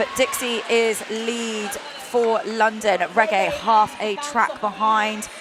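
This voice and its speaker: There is noticeable background noise behind this woman. Her pitch is fairly high, with ordinary pitch variation. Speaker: roller derby commentator. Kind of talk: live commentary. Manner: animated.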